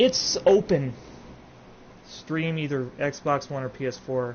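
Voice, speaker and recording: A man talks at a medium pitch. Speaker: video game streamer. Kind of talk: casual live stream commentary. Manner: loud.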